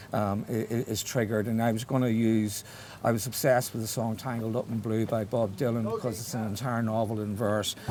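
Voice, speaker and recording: Speaking with a Belfast accent, a man keeps to a medium pitch. His intonation is monotone and flat, and his pace fairly quick. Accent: Belfast Northern Irish. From Northern Ireland, Belfast. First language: Irish. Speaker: writer. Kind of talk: interview conversation. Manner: halting, many false starts.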